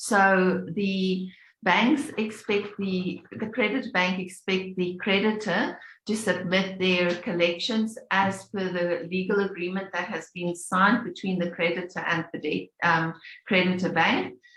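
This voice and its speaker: Speaking at a fairly slow pace, a woman with a plain, everyday voice keeps a medium pitch and fairly even intonation. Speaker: payments industry presenter. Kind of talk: webinar presentation.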